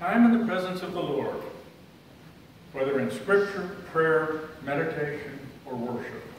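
In a room with strong echo and light background noise, a man speaks fairly slowly at a fairly high pitch, with ordinary pitch variation and long, frequent pauses. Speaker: lay speaker. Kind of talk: sermon. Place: church. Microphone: camera far.

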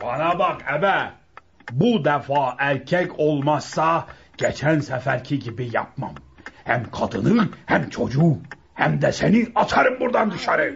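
A man performs a put-on character voice at a fairly high pitch, moving at a fairly slow pace with lively intonation. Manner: harsh, threatening.

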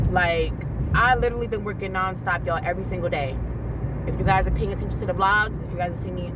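Despite loud background noise, the sound is dry with no echo as a woman talks at a very fast pace. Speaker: vlogger. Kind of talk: casual vlog chat. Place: car. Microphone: phone near.

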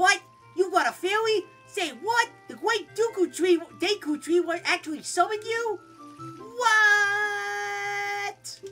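Putting on a character voice at an extremely high pitch, a woman speaks very slowly with long, frequent pauses as clear music plays in the background. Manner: incredulous, exaggerated.

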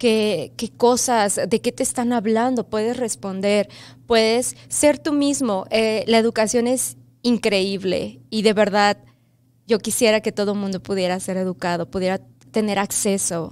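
A woman's voice with a Mexico City accent, at a fairly slow pace, with ordinary pitch variation. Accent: Mexican Spanish (Mexico City). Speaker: first grade bilingual teacher. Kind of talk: interview. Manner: hesitant with fillers. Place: studio. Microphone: studio mic.

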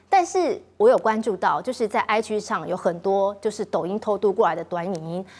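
A woman talks in a normal speaking voice at a fairly quick pace, her pitch fairly high. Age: middle-aged. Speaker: TV talk show host. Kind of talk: political talk show hosting.

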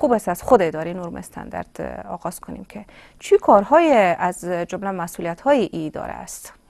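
The speaker talks at a fairly quick pace with big swings in loudness over a quiet background. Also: woman. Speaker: TV presenter; TV show host. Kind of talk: live TV interview. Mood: polite, formal. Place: studio.

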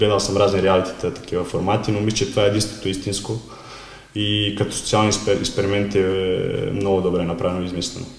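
Speaking at a fairly quick pace in a Serbian accent, a man with a fairly low pitch keeps a monotone, flat intonation amid audible room echo. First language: Serbian (speaking Bulgarian). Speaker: former footballer, club marketing specialist; interview guest. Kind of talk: interview; interview answer. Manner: halting. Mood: relaxed, reflective. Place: office.

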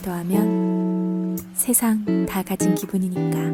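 With music playing in the background, a woman talks at a very slow pace. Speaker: voice actor. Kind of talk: TV commercial read. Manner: natural tone.

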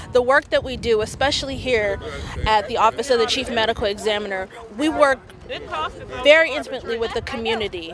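Over noticeable background noise, a woman with a fairly high voice and ordinary pitch variation speaks at a very fast pace yet leaves long, frequent pauses, in a dry sound with no echo. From San Francisco, Bayview Hunters Point. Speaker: medical examiner's office worker. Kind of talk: protest speech. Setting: outdoor rally. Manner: impassioned, building call-and-response testimony; emotional, near tears recounting indignities. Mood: earnest, concerned. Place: street. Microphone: handheld.

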